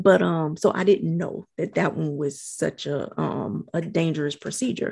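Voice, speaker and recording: Her voice is very deep and low for a woman, with vocal fry. She speaks at a fairly slow pace with lively intonation. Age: 40s. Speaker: podcast co-host. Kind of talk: casual chat.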